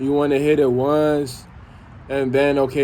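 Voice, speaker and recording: Monotone, flat intonation with audible room echo. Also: man. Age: 20s. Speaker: vlogger. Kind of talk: personal vlog monologue.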